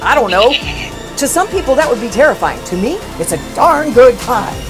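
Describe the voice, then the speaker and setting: With clear music in the background, a woman speaks at a moderate pace in a high pitch with very wide pitch swings. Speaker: creature and voice actor. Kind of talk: interview answer. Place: home room.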